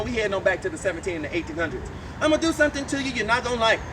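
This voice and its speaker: Animated and theatrical, a man with a New Orleans accent uses lively intonation over noticeable background noise. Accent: New Orleans Southern US. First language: Louisiana Creole. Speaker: voodoo priest and tour guide. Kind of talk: guided tour talk. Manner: animated, theatrical.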